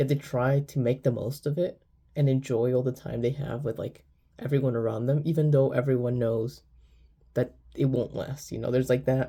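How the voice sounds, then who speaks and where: This man's voice sits at a medium pitch, somewhat breathy and delivered in a flat monotone. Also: moderate pace. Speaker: manga reviewer. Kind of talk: video review. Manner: halting.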